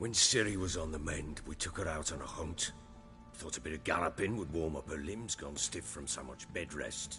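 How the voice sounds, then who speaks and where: Over music in the background, a raspy, put-on character voice moves at a moderate pace with lively intonation. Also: man, very deep, low pitch for a man. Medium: video game. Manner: gruff, blunt.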